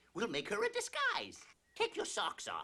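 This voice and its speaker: Someone uses a high-pitched, cartoonish character voice at a moderate pace. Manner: bossy, prim.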